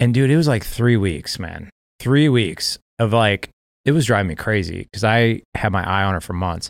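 A man with an ordinary speaking voice, medium in pitch, at a moderate pace with ordinary pitch variation, on a very clean recording with a silent background. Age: 40s. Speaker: fatherhood podcast founder and author. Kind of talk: casual interview chat, personal story.

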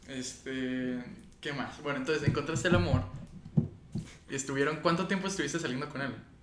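With audible room echo and noticeable background noise, a man speaks at a fairly quick pace with long, frequent pauses. His pitch is fairly high and shows ordinary pitch variation. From foreign-born, living in Mexico. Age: 20s. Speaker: podcast host. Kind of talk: casual chat.

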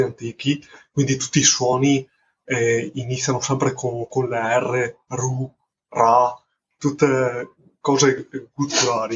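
A man's somewhat breathy, medium-pitched voice, fairly slow and in a monotone, flat intonation. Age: 30s. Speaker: carpenter and indie film director. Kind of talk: casual interview. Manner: halting, repeats words.

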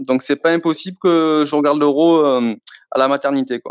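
In a dry, close sound with no echo, a man with a fairly high pitch talks at a fairly slow pace. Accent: Marseille. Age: 30s. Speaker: sports store assistant manager, football fan. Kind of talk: podcast interview. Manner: hesitant, many fillers.

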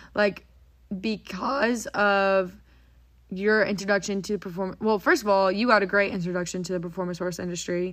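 Fairly even intonation and a moderate pace come through on a very clean recording with a silent background. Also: woman, medium pitch for a woman. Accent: Texan. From Texas, Frisco. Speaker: podcast host, horse trainer. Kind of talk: casual chat. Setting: home barndominium.

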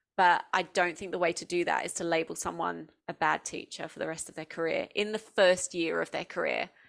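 Speaking with a southeast English accent, a woman moves at a fairly quick pace with hardly any pauses over a very clean, silent background. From England, Essex. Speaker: education designer and former teacher, podcaster. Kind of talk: interview.

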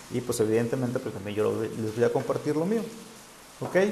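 Over noticeable background noise and audible room echo, a man talks at a moderate pace with very wide pitch swings. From Mexico, Sinaloa. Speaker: spiritual guide and livestream host. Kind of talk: live-streamed spiritual talk. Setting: live stream on social media. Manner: hesitant, many fillers.

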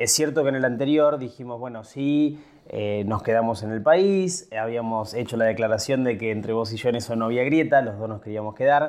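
Here is a man with a plain, everyday voice at a medium pitch. His pace is moderate and his pitch variation ordinary. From Buenos Aires province, Argentina. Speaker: podcast host. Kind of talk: casual chat.

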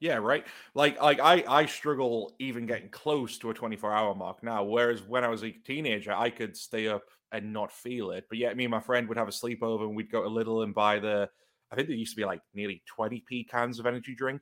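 A man with a plain, everyday voice talks at a medium pitch and a fairly quick pace. His intonation stays fairly even. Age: 20s. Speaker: podcast host. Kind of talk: casual chat.

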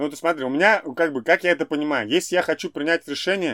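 In a very clean recording with a silent background and a dry, close sound without echo, a man with a fairly high pitch talks very fast with ordinary pitch variation. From Russia, Ufa. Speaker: entrepreneur, event organizer. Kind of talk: interview. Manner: animated.

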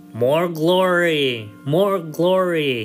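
A man bellows in a put-on character voice, his pitch fairly high. Clear music plays in the background. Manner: bellowing, demanding.

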